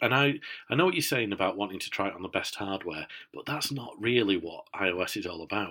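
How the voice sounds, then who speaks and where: A man with a Yorkshire accent speaks at a fairly low pitch and a moderate pace. His tone is bright and sharp, and his intonation is lively. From Yorkshire, northern England. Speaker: tech podcast co-host. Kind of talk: casual chat. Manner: hesitant, many fillers.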